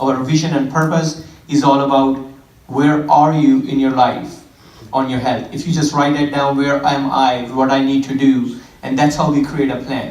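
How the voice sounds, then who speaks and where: Speaking with an Indian accent, a man has a fairly high pitch and a moderate pace. There is noticeable background noise and audible room echo. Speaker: fitness trainer. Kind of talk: church talk.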